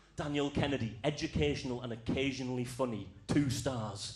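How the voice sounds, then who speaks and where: Against audible room echo, a man speaks at a medium pitch with ordinary pitch variation. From Scotland, Outer Hebrides. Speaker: comedian. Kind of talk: stand-up. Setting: stage with audience.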